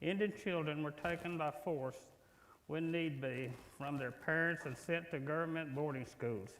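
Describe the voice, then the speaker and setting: This man's fairly high voice moves at a moderate pace with ordinary pitch variation, and room echo can be heard. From Oklahoma, US. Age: 70s. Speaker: church member giving testimony. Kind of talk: testimony. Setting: church worship service. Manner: reading from prepared text.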